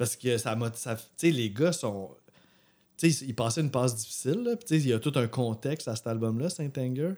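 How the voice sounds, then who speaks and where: In a Quebec accent, a man with a dark, mellow tone speaks at a moderate pace. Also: medium pitch for a man, ordinary pitch variation. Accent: Québécois French. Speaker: music podcast co-host. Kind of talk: casual chat.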